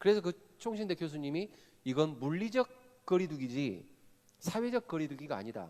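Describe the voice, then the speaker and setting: At a moderate pace, a man speaks in an animated tone with very wide pitch swings. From Korea, Jeolla (Gwangju). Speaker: pastor / seminar speaker. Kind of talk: sermon-style seminar talk. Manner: animated, engaging audience with questions.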